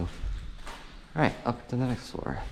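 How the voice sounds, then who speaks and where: A mumbling man with ordinary pitch variation, against noticeable background noise. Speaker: urban explorer vlogger. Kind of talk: casual walkthrough narration. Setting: indoors in abandoned building.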